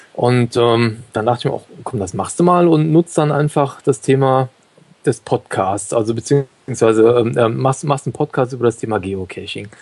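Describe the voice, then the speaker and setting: Dry and close with no echo, a plain, everyday voice talks at a moderate pace with ordinary pitch variation. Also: man, medium pitch for a man. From Germany, Cologne. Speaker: podcaster and dog owner. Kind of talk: interview.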